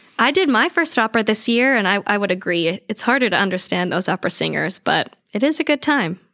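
In an American accent, a woman speaks at a very fast pace and fairly high pitch with hardly any pauses, lively intonation, a bright, sharp tone and very even loudness, on a very clean recording with a silent background and a dry, close sound with no echo. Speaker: theater performer and coach. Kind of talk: casual interview chat.

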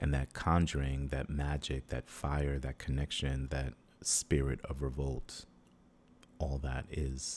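A man with an American accent speaks in a very deep, low, somewhat breathy voice with monotone, flat intonation. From United States, Haitian family. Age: 40s. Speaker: performance artist and librettist. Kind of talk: interview. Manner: halting, many fillers.

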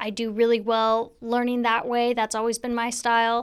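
A woman with an American accent and fairly high pitch at a moderate pace, in a very clean recording with a silent background. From US Pacific Northwest, Spanaway, Washington. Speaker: sheriff's deputy, school resource officer. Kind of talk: interview. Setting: studio.

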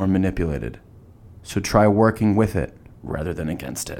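At a moderate pace, a man speaks with a fairly low pitch and vocal fry. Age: 20s. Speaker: podcast host, college student. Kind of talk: scripted narration.

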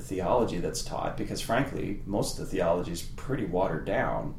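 A man speaks with a western Canadian accent and ordinary pitch variation. Room echo and noticeable background noise are both audible. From Canada, Medicine Hat, Alberta. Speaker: political science professor. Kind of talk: interview.

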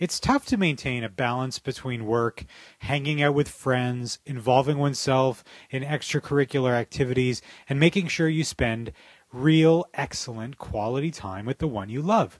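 In an ordinary speaking voice with a Canadian accent, a man talks at a moderate pace in a medium pitch with ordinary pitch variation, the sound dry and close with no echo. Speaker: podcast host. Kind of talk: monologue and interview.

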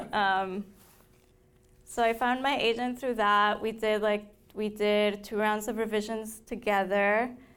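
A woman with a Spanish accent speaks fairly slowly in a fairly high voice. Her intonation is monotone and flat. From Colombia, Bogota. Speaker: novelist. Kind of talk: author talk. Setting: library event with audience.

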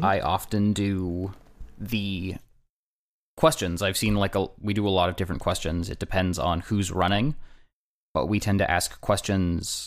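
A man with an unremarkable speaking voice talks at a fairly slow pace and a fairly low pitch. The recording is very clean, with a silent background. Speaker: guest podcaster and game player. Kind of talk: casual chat with banter.

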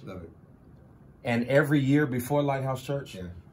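A man's voice carries audible room echo. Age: 30s. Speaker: pastor. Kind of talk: casual interview.

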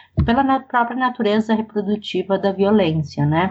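A woman speaks at a moderate pace, her fairly high voice somewhat breathy. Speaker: professor of international development. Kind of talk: interview.

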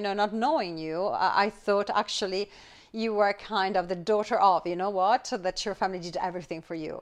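Talking at a fairly quick pace, a woman has an unremarkable speaking voice with a medium pitch. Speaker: podcast host. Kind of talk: casual interview chat.

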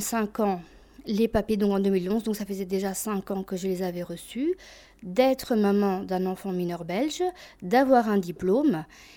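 In a dark, mellow tone, a woman speaks at a fairly slow pace with a medium pitch and ordinary pitch variation. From Albania, raised in Belgium from age 7. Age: 20s. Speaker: immigrant telling her story. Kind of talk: testimony.

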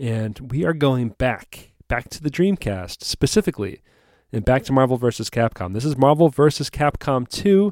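An unremarkable speaking voice, a man's at medium pitch, moves at a moderate pace with lively intonation, recorded dry and close with no echo on a very clean, silent background. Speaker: podcast host. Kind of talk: casual chat.

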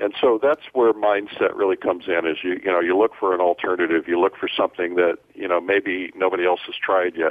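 A man with a very deep, low pitch talks at a fairly quick pace. He leaves hardly any pauses and keeps his intonation fairly even. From US Midwest, Fort Wayne, Indiana. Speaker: entrepreneur and publisher, former radio DJ. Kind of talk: interview.

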